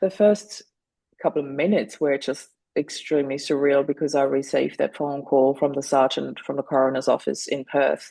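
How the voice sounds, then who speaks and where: A woman with a very deep, low pitch, a dark, mellow tone and a German accent, at a fairly quick pace. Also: ordinary pitch variation. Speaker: widow and grief coach. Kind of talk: interview.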